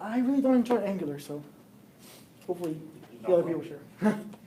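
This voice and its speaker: The speaker is a man with a high-pitched voice. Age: 20s. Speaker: software developer giving a meetup talk. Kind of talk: tech meetup presentation. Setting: meetup with live audience. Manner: fast.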